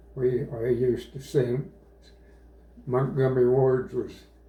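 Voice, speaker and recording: A man is speaking. His pace is very slow. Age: 80s+. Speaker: war veteran. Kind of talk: interview answer. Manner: passionate, heartfelt.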